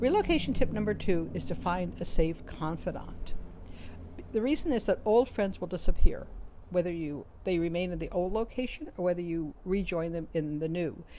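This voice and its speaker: With a New York accent, the speaker shows ordinary pitch variation. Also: woman, fairly low pitch for a woman. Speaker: author and career coach. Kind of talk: advice talk to camera. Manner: fast.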